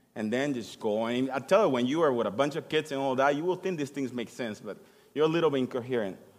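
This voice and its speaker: Speaking at a very fast pace, a man with a non-native accent talks at a medium pitch with ordinary pitch variation. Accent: noticeable foreign. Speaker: church musician giving sermon. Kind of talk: sermon. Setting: church. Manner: halting.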